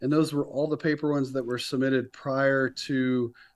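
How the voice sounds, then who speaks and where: A man speaks in an ordinary speaking voice at medium pitch with fairly even intonation. His pace is moderate, and the background is quiet. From North Carolina, Raleigh-Durham area. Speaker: company founder and CEO. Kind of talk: casual interview.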